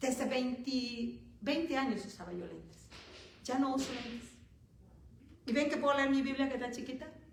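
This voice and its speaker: A woman speaks at a high pitch, with long, frequent pauses. Audible room echo surrounds her voice. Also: ordinary pitch variation, moderate pace, big swings in loudness. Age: 60s. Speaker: preacher. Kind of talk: sermon.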